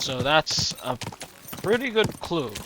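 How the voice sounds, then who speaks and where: Very slow man with lively intonation, over noticeable background noise. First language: Slovenian. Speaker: video game streamer. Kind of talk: live gameplay commentary. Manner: halting.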